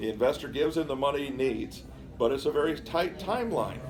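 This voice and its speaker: A man's voice, pitched fairly high, comes through with clearly audible noise in the background. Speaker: exhibit presenter. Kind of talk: museum talk to visitors.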